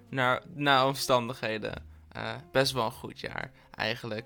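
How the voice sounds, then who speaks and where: A man at medium pitch and a fairly slow pace, big swings in loudness, music in the background. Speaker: podcast host. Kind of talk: casual monologue. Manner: animated.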